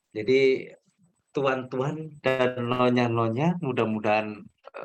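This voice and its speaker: Music plays in the background as a man speaks at a very slow pace. His medium pitch shows ordinary variation. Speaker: trainer for new civil servants. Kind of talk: online training session. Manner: deliberately slow. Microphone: connection dropping out.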